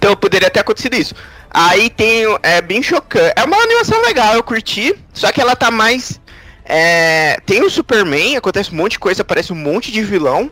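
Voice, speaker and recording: With a raised, projected voice, a man speaks in a high pitch. His intonation is lively. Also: fairly quick pace. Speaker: podcast co-host. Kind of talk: casual chat.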